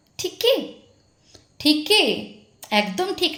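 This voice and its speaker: A woman is speaking. Her voice is loud. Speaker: YouTube commentary vlogger. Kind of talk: angry callout monologue. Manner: harsh, scolding.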